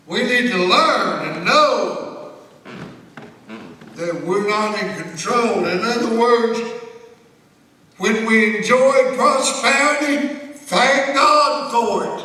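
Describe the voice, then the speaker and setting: Raising and projecting his voice at an extremely high pitch, a man speaks very slowly with long, frequent pauses and ordinary pitch variation, amid audible room echo and noticeable background noise. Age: 70s. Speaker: pastor. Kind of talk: sermon.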